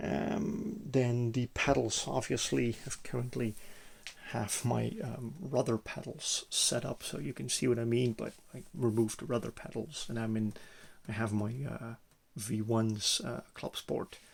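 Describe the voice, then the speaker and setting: A man speaks at a medium pitch, somewhat breathy, with ordinary pitch variation. His pace is fairly slow. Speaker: sim gaming hobbyist. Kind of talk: casual walkthrough video. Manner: halting, many hesitations.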